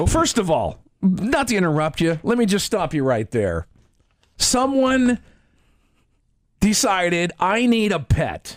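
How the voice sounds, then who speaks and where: A man talks at a moderate pace, and the recording is very clean with a silent background. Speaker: radio talk show host. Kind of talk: radio talk show banter. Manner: chatty, humorous, conversational.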